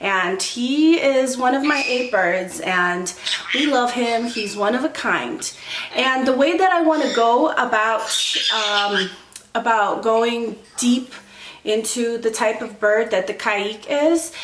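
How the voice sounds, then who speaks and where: Delivered at a very slow pace, the speech has audible room echo and noticeable background noise. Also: woman, ordinary pitch variation. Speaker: bird-keeping YouTuber. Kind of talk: casual educational vlog. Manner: casual with filler ums.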